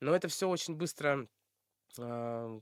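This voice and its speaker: In a very clean recording with a silent background, a man with a fairly high pitch speaks at a fairly slow pace with ordinary pitch variation. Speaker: blogger. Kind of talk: casual interview chat. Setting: studio podcast. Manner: many fillers and hesitations.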